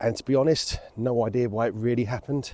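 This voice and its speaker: A man talks with a British accent. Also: very clean recording, silent background. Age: 40s. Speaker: vlogger. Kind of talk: personal vlog monologue. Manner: casual, hesitant with fillers.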